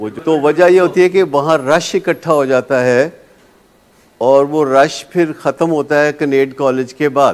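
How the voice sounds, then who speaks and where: This man has an unremarkable speaking voice, pitched fairly high, with fairly even intonation. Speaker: addiction treatment specialist. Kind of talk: lecture.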